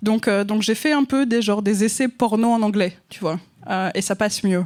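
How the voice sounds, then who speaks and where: Speaking at a moderate pace, a woman uses a fairly high pitch with ordinary pitch variation. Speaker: novelist. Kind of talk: casual chat. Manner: hesitant, many fillers.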